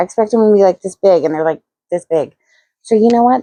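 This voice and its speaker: Soft-spoken and dark, mellow in tone, a woman uses lively intonation in a dry, close recording with no echo. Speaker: crochet youtuber. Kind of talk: casual vlog talk. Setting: home, early morning. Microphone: too quiet, needed microphone.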